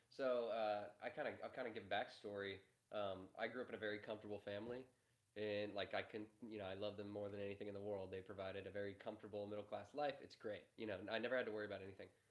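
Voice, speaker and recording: A man speaks very fast in a fairly low, monotone voice with flat intonation. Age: 20s. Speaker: media entrepreneur, content producer. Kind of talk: live-stream interview.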